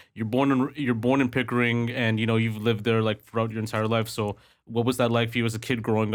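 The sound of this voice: A man with a medium-pitched voice speaks at a fast pace. His pitch moves very little.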